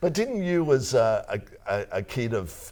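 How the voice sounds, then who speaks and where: A man's dark, mellow voice with an Australian accent and lively intonation, at a fairly slow pace, on a very clean recording with a silent background. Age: old. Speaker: podcast host. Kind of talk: casual chat.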